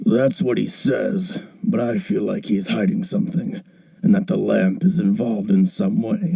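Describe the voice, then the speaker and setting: A man puts on a raspy character voice at a high pitch. He speaks at a moderate pace. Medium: audio drama. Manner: earnest, worried.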